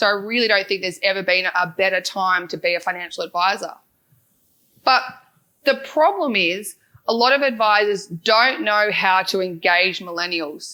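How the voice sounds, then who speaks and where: Bright, sharp, medium-pitched tones from a woman with an Australian accent, in a very clean recording over a silent background. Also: ordinary pitch variation. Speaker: financial adviser and podcast founder. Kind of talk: conference talk. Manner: fast.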